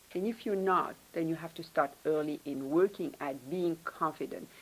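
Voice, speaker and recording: Here a woman talks at a moderate pace. She speaks with a non-native accent. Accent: foreign. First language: not English. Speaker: professor, department head. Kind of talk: panel talk, career advice.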